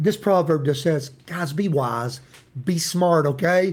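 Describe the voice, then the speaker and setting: A man talks at a fairly slow pace. He has a Tennessee accent. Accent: Southern US (Tennessee). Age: 50s. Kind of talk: devotional Bible teaching. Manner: casual, folksy.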